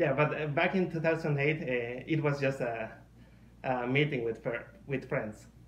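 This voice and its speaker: Somewhat breathy, a man with a Mexican accent talks at a fairly high pitch and moderate pace. His pitch varies in an ordinary way, with audible room echo around him. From Mexico. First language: Spanish. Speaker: furry artist. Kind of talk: casual podcast interview. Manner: halting.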